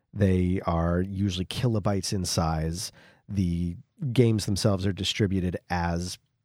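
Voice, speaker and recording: A soft-spoken man with a very deep, low pitch, ordinary pitch variation and a fairly slow pace. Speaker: podcast host. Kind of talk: casual chat. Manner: quiet, soft-spoken to save his voice.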